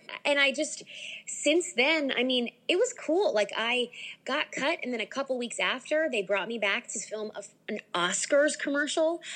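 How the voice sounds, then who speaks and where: Speaking with an American accent, a woman has a high pitch and a bright, sharp tone. Her intonation is lively. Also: moderate pace. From US, Delaware. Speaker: singer. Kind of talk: casual interview chat.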